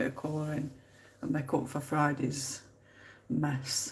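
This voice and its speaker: Through noticeable background noise and audible room echo, a woman speaks at a very deep, low pitch with monotone, flat intonation. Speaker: colouring live streamer. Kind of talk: casual chat.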